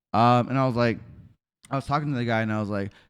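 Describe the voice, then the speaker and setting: On a very clean recording with a silent background, a man speaks at a medium pitch in an animated tone with ordinary pitch variation. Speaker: podcast host. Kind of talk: casual chat. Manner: loud.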